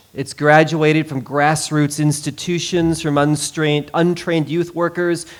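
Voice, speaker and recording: With a plain, everyday voice, a man of fairly high pitch speaks at a moderate pace. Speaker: professor and pastor. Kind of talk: conference presentation.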